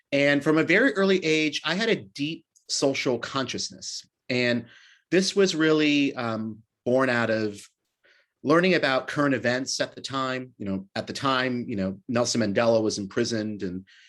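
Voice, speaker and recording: With an American accent, a man talks at a moderate pace and with lively intonation against a quiet background. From US West Coast, San Francisco. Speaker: city mayor, politician. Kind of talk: speaker series talk. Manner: halting, many fillers and repetitions.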